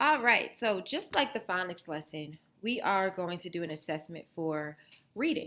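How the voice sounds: Intonation here is lively. It belongs to a natural reading voice.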